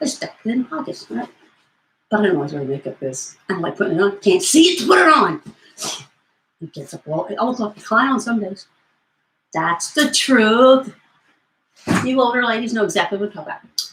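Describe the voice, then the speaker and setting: A woman with an American accent and vocal fry speaks at a fairly quick pace, with long, frequent pauses, very wide pitch swings and big swings in loudness. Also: fairly high pitch for a woman. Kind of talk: comedic infomercial talk to camera. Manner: goofy, rambling, upbeat.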